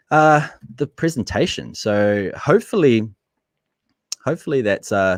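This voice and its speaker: With a medium pitch and very wide pitch swings, a man speaks with long, frequent pauses in a dry, close sound with no echo. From New Zealand. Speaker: marketing entrepreneur and YouTuber. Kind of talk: webinar presentation and interview. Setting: live video webinar. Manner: fast.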